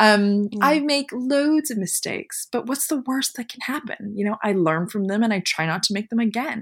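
Lively in intonation and somewhat breathy, a woman with a fairly high pitch speaks at a moderate pace with hardly any pauses. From Canada (Montreal). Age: 40s. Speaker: magazine publisher and fashion director. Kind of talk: casual interview.

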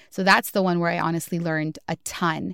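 Recorded very cleanly against a silent background, a woman speaks at medium pitch with a Californian accent. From Southeast Los Angeles. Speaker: podcast engagement producer. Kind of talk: interview.

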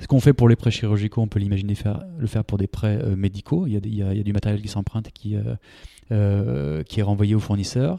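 At a very fast pace, a man with a fairly low pitch and a dark, mellow tone speaks with ordinary pitch variation. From France, Bordeaux. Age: 30s. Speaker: startup founder, former medical sales rep. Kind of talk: interview. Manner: hesitant, many fillers and repetitions.

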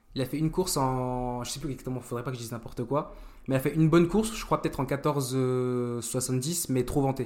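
A man speaks at a fairly quick pace in an unremarkable speaking voice. His pitch sits in the medium range, with ordinary pitch variation. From France, Vosges/Nancy area, early childhood in Germany. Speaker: track and field athlete. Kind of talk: casual chat.

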